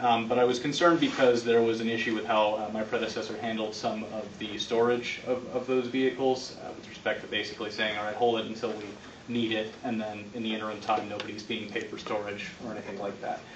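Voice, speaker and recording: A man at medium pitch, very fast with hardly any pauses, monotone and flat, with audible room echo and noticeable background noise. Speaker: county prosecutor. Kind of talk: public meeting report. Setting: county commission meeting. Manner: hesitant, many fillers.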